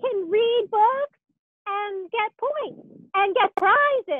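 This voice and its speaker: In a cartoonish character voice, a female-sounding speaker talks very slowly at an extremely high pitch for a woman. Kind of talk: children's puppet show. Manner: upbeat, excitable.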